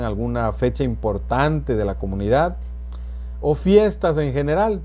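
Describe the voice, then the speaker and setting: A man talks at a very slow pace, with audible echo from the room. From southern Veracruz, Mexico. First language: Nahuatl (speaking Spanish). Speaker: teacher. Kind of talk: educational talk. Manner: hesitant, with fillers.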